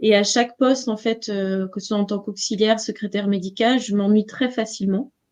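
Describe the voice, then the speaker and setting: A woman talks at a fairly quick pace with hardly any pauses. Her intonation is monotone and flat. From western France, Nantes region. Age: 40s. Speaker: entrepreneur, numerologist. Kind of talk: interview. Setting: live stream. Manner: hesitant, many fillers.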